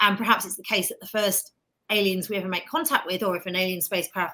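Very fast in pace, the voice carries a bright, sharp tone. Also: woman. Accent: British. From Britain. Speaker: astrophysicist and space journalist. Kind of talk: casual interview chat.

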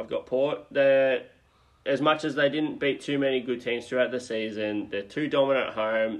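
A man with an Australian accent at a moderate pace, his intonation fairly even. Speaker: sports podcast co-host. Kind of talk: casual chat.

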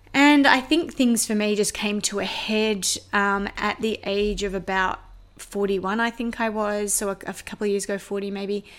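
A woman speaks in an Australian accent at medium pitch. Her pace is moderate and her pitch variation ordinary. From Australia, Sydney northwest suburbs. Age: 40s. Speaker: podcast host, spiritual practitioner. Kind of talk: personal storytelling monologue.

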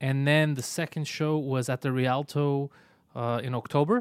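The speaker is a man. His pitch is medium.

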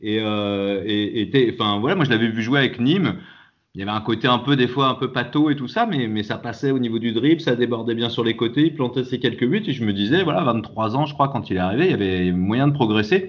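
A man with a normal speaking voice, medium pitch, ordinary pitch variation and a fairly quick pace. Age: 40s. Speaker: football supporter. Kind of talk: casual chat.

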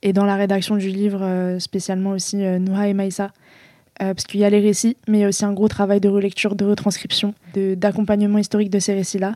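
A woman's medium-pitched, dark, mellow voice, very fast and monotone with flat intonation. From France. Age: 20s. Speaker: author. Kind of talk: interview. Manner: halting.

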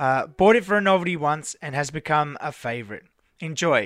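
A man speaks with an Australian accent. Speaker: podcast host. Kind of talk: casual chat.

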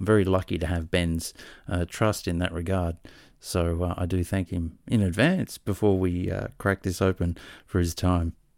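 In an Australian accent, the speaker goes at a moderate pace with monotone, flat intonation, the sound dry and close with no echo. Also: man, very deep, low pitch for a man. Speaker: podcast host. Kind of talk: casual interview chat. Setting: video call.

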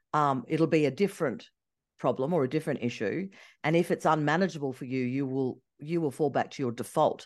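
The speaker has an Australian accent and an animated tone at a fairly quick pace. Pitch varies in an ordinary way against a quiet background. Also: woman, very deep, low pitch for a woman. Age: 50s. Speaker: travel and ski journalist. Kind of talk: casual chat.

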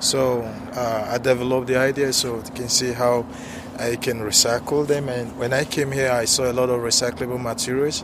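Against noticeable background noise, a man talks at a fairly quick pace with a medium pitch and monotone, flat intonation. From Africa. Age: 30s. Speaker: international student and business owner. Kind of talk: casual street interview. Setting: outdoors on a university campus. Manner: halting, with many fillers.

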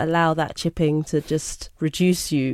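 This woman has a London accent and a fairly low pitch. She talks at a moderate pace. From London (Brixton), England. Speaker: graphic designer and art director. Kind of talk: interview.

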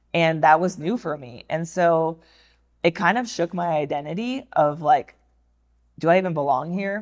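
On a very clean recording with a silent background, a woman speaks with a very deep, low pitch and ordinary pitch variation. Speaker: former fighter pilot. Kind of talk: interview. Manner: soft-spoken.

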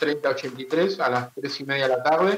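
The intonation is fairly even, and background noise is noticeable. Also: man. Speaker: carnival news correspondent. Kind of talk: radio segment, events roundup. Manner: halting, filler words.

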